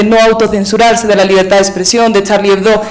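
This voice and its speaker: Against noticeable background noise and audible room echo, a woman with a Spanish accent speaks at a fairly high pitch in a monotone, flat intonation. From Spain. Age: young. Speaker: audience member. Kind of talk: audience question.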